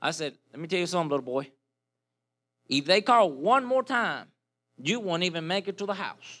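On a very clean recording with a silent background, a man uses a raised, projected voice with a bright, sharp tone, very wide pitch swings and a moderate pace. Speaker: preacher. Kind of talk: sermon. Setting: church with congregation.

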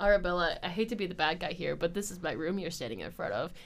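At a very fast pace, a woman does a raspy put-on character voice at a fairly low pitch.

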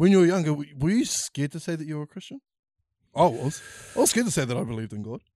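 A man with a New Zealand accent and a fairly high but dark, mellow voice speaks at a very fast pace with lively intonation and big swings in loudness, recorded dry and close with no echo in a very clean recording with a silent background. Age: young. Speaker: podcast host. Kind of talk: casual chat.

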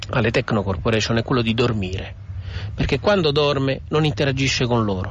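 Vocal fry colors a man's speech as his pitch swings very widely at a moderate pace. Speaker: author and digital culture expert. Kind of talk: recorded radio interview. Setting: recorded interview. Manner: articulate, formal.

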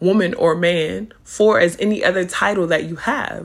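Animated in tone, a woman with a fairly low pitch and vocal fry speaks at a fairly slow pace with ordinary pitch variation. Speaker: podcast host and spiritual advisor. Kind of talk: casual monologue.

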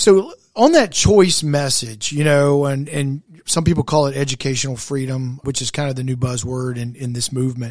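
A man with an American accent and an unremarkable speaking voice, fairly high in pitch, at a moderate pace with hardly any pauses and ordinary pitch variation. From South Carolina, West Columbia. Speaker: podcast host, charter school advocate. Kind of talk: interview.

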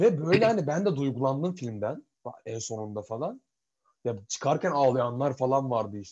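A man speaks at medium pitch and a moderate pace in a somewhat breathy voice. His pitch swings very widely and his loudness swings a lot. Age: 20s. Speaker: podcast co-host. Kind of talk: casual chat. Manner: animated.

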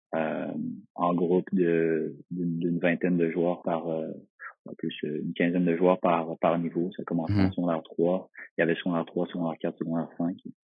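This man talks in a very deep, low pitch with monotone, flat intonation. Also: moderate pace. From Quebec, Magog (Eastern Townships). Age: 20s. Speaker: professional footballer. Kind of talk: interview. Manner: halting, many repetitions and fillers.

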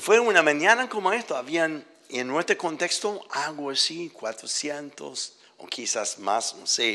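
At a very slow pace, a man talks in a bright, sharp tone with very wide pitch swings. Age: 70s. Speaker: visiting preacher. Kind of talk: sermon, preacher in full flow. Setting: church with congregation. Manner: passionate, urgent, exhorting; animated, emotional.

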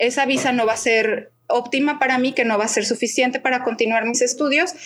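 The speaker has a Mexican accent. Their pitch variation is ordinary. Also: woman. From Mexico, Guadalajara. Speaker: expat interviewee. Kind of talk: podcast interview.

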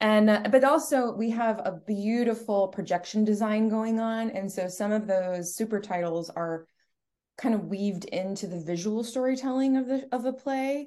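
Against a quiet background, a woman with an American accent speaks at a moderate pace in a fairly high voice with a dark, mellow tone and ordinary pitch variation. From Connecticut, US. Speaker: theater director. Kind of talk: interview.

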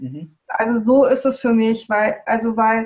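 A woman speaks with fairly even intonation. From Germany, Hesse (Darmstadt), born in Peru. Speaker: architect, TEDx organizer. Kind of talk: interview. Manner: halting, many fillers.

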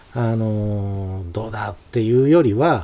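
Over a silent background in a very clean recording, a dark, mellow voice speaks fairly slowly with lively intonation. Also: man. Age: 50s. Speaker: calligrapher. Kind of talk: casual interview.

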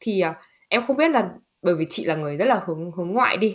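Here is a woman with an unremarkable speaking voice. She speaks at a medium pitch with lively intonation. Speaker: podcast host. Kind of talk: casual interview chat. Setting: video call.

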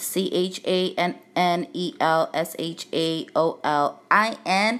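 A woman with a Brooklyn accent speaks at medium pitch in a very clean recording with a silent background. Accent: Brooklyn New York. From Brooklyn, New York City. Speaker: music artist representative and podcast host. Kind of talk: casual podcast intro, informal address. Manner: casual, chatty, filler words.

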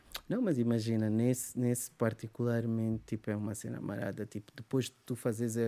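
At a moderate pace, a man talks in a medium pitch with a dark, mellow tone and monotone, flat intonation. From Angola, Luanda. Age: 40s. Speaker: musician. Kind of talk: casual chat.

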